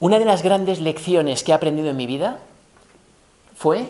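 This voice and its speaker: This man has a fairly high pitch and a dark, mellow tone. His intonation is lively and his pace moderate. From Spain. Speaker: business professor, former tech executive; business professor. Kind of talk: lecture. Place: hall. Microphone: camera far.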